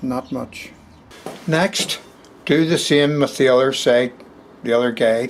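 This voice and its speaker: With a Belfast accent, a man speaks at a medium pitch, fairly slowly, with fairly even intonation and long, frequent pauses. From Belfast, Northern Ireland. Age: 60s. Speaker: carpenter. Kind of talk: woodworking tutorial. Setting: cold workshop. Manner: dry humour.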